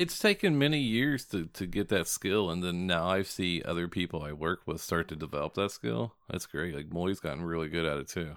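A man with a very deep, low pitch and a slight Southern accent, talking at a fairly quick pace with lively intonation and hardly any pauses, in a very clean recording with a silent background. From southern Indiana. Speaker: podcast co-host. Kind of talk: casual chat. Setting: studio.

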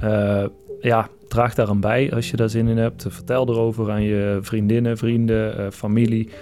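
Over music in the background, a man at a medium pitch talks at a fairly slow pace in a monotone, flat intonation. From Brabant, Netherlands. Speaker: podcast host. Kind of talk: solo podcast monologue; casual phone call. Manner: halting.

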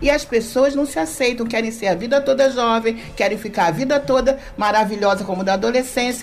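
A woman speaks at a fairly quick pace with hardly any pauses, her fairly high voice showing ordinary pitch variation. Noticeable background noise runs behind her. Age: 60s. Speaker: social worker. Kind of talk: radio talk show discussion.

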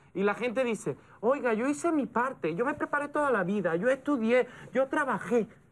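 A man's extremely high voice with lively intonation. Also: moderate pace. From Andalusia, southern Spain. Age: young. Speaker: political analyst. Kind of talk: casual chat.

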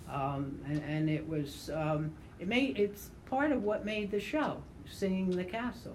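Her pitch swings very widely around a medium level. The woman's voice is somewhat breathy. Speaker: podcast host. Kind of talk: casual group chat.

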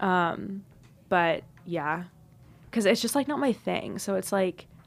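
Using a normal speaking voice, a woman talks at a moderate pace with ordinary pitch variation on a very clean recording with a silent background. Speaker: college radio podcast co-host. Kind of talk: casual chat. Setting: studio.

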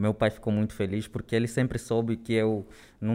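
A man speaks at a fairly quick pace in a fairly low, dark and mellow voice, on a very clean recording with a silent background. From Angola, Luanda. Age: 20s. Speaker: corporate trainee. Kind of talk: interview. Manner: halting.

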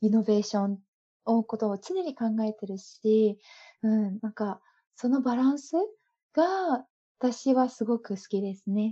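A woman speaks at a fairly slow pace with long, frequent pauses, in a somewhat breathy, dark, mellow voice with ordinary pitch variation. The background is quiet and the sound is dry and close, with no echo. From Japan. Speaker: owner of an import business. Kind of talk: casual interview. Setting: video call.

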